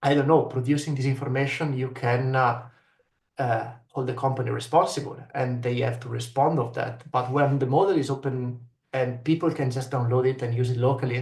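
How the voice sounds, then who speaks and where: Speaking at a fairly quick pace, a man with a non-native accent has a medium pitch, a somewhat breathy voice and monotone, flat intonation, with audible room echo around him. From Italy. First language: Italian. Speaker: researcher. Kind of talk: panel discussion. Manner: hesitant, many fillers.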